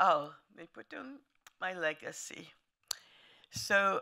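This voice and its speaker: A woman with a bright, sharp tone and vocal fry, in a very clean recording with a silent background. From Lithuania, later Italy. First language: German. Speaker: Holocaust survivor. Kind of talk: testimony. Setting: museum talk to an audience.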